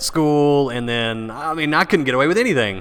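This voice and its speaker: A man with a Texan accent, bright and sharp in tone, with ordinary pitch variation. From Texas, Paris. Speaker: entrepreneur and former radio DJ. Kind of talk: casual interview.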